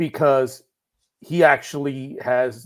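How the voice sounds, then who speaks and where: In a very clean recording with a silent background, a man speaks at a fairly high pitch with a slight Puerto Rican accent. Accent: slight Puerto Rican accent, barely noticeable. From Puerto Rico. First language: Spanish. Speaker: writer. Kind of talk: podcast interview.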